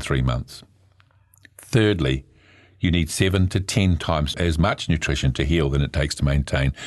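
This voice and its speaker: A man with a New Zealand accent speaks in a very deep, low pitch at a moderate pace. His loudness stays very even and his pitch variation is ordinary. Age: 70s. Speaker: medical herbalist and naturopath. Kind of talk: radio talk on natural health. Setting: studio. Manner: hesitant, many fillers.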